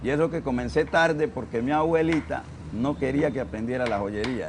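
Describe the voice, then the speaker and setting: With music in the background, a man talks at a moderate pace with lively intonation. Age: 60s. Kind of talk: documentary interview.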